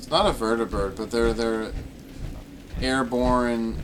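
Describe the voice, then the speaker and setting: A man's voice shows big swings in loudness. Audible room echo follows his words. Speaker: gaming streamer. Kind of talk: casual chat. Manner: halting; slow.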